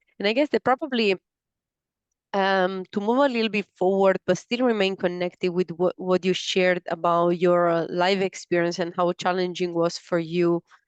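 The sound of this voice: A woman with a fairly low pitch and a clear, smooth tone speaks at a moderate pace. Her intonation is fairly even, and the sound is dry and close with no echo.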